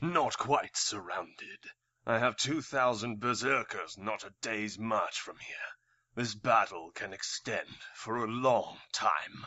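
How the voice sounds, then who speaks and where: Using a put-on character voice, a man speaks fairly slowly at a medium pitch with a raspy sound. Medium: audio drama. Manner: calm, sardonic, self-assured.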